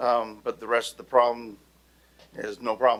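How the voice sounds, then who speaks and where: A man talks at a medium pitch. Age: 60s. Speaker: local resident. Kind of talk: public comment. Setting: city council meeting.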